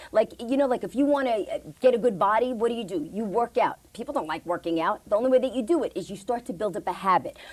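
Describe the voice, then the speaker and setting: Talking very fast, a woman with a fairly high pitch sounds animated, her intonation lively. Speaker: voiceover artist and motivational speaker. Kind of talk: interview.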